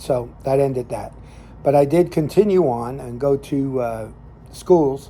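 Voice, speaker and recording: A man in an American accent speaks at a medium pitch with ordinary pitch variation. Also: big swings in loudness. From New Jersey (Jersey City, Hackensack). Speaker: lay minister and cigar show host. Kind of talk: casual storytelling monologue. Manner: halting, many fillers.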